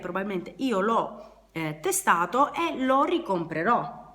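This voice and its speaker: Against noticeable background noise, a woman speaks at a fairly slow pace and medium pitch with lively intonation. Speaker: beauty and DIY youtuber. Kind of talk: product unboxing review. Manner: casual, hesitant with fillers.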